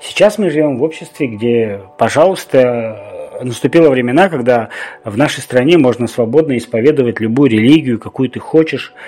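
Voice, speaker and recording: Background noise is noticeable. A man talks at a moderate pace and medium pitch. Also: ordinary pitch variation. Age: 40s. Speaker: podcast host. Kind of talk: solo podcast monologue.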